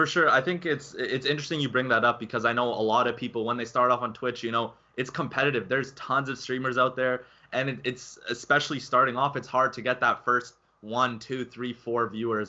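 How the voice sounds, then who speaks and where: A man with a normal speaking voice, medium in pitch, at a fairly quick pace with fairly even intonation. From Canada. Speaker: gaming channel host. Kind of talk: interview.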